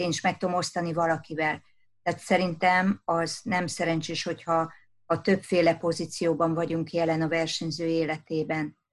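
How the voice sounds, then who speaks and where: Against a quiet background, a woman with fairly low pitch speaks at a moderate pace in monotone, flat intonation. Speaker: kayak coach and sport psychologist. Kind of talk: interview.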